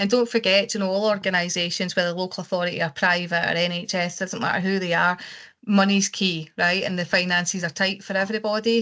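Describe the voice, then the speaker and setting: A woman with a Scottish accent talks fairly quickly at a medium pitch. Her intonation is monotone and flat, and the background is quiet. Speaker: care quality consultant. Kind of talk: webinar discussion.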